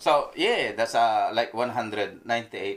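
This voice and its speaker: At a moderate pace, a man speaks with a Filipino accent. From Philippines. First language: Filipino regional language. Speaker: mechanic. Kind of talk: casual chat. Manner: halting.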